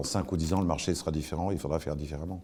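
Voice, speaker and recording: In a very clean recording with a silent background, a man talks at a fairly quick pace in a dark, mellow tone. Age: 60s. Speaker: journalism school president. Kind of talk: interview. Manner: hesitant, many fillers.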